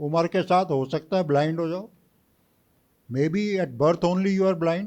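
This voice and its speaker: A man's high-pitched voice at a fairly slow pace, with ordinary pitch variation. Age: 60s. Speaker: retired army officer, guest speaker. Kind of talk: lecture. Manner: mixes Hindi and English.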